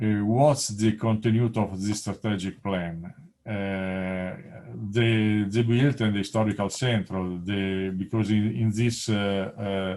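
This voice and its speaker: A man's fairly low, dark, mellow voice in an Italian accent, very slow, with fairly even intonation. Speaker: presenter at an academic webinar. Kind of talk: conference presentation. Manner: halting, many fillers.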